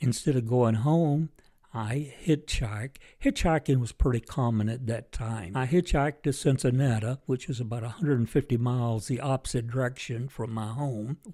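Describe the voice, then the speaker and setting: A man with a dark, mellow tone talks at a moderate pace and medium pitch with ordinary pitch variation, captured in a very clean recording with a silent background. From Kentucky. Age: 90s. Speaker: war veteran. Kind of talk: interview. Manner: halting.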